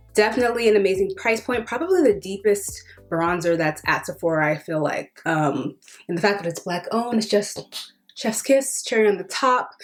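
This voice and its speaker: A woman with lively intonation over background music. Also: medium pitch for a woman. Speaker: beauty vlogger. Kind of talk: product review. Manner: casual, filler-heavy; fast.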